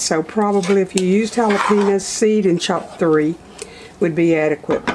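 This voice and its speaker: The intonation stays fairly even. Noticeable background noise runs underneath. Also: woman. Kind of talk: cooking tutorial. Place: kitchen.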